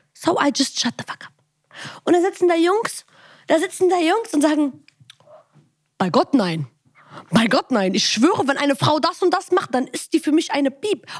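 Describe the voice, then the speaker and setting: Long, frequent pauses break up a woman's high-pitched speech, which swings very widely in pitch. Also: moderate pace, dry, close sound with no echo. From Germany, Bonn. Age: 20s. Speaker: podcast host. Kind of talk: casual chat.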